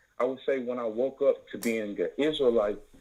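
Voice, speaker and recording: At a moderate pace, a man talks with a Southern US accent. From Tennessee, US South. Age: 20s. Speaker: caller. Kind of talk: call-in question on a religious broadcast.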